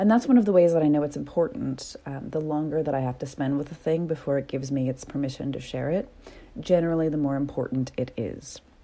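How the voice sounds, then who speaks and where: Animated in tone, a woman talks at a very fast pace with a very deep, low pitch and ordinary pitch variation. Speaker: podcast host and coach. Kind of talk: solo podcast monologue with promo. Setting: home recording with construction noise outside. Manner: casual, chatty, animated.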